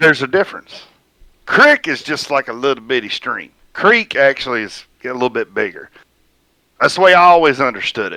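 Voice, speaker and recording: A bright, sharp voice in a Southern US accent, fairly quick and lively in intonation, with big swings in loudness, dry and close with no echo in a very clean recording with a silent background. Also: man, fairly high pitch for a man. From US South. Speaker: sim racer streaming with friends. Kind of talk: casual chat.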